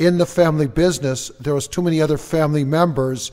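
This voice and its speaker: A man with an American accent and a plain, everyday voice, fairly high pitch, moderate pace, on a very clean recording with a silent background. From Minnesota, Twin Cities. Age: 50s. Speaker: network marketing entrepreneur. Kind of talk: interview. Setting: studio.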